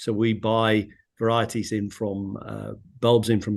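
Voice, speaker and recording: A British accent comes through with monotone, flat intonation over a quiet background. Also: man. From UK. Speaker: flower bulb exporter. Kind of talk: webinar panel talk. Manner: halting, many fillers.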